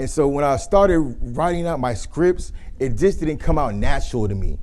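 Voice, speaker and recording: A man speaks in an animated tone amid audible room echo. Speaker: public speaking coach. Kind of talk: workshop presentation.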